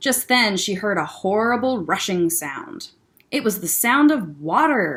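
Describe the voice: The passage is read aloud plainly. Its intonation moves in a lively way.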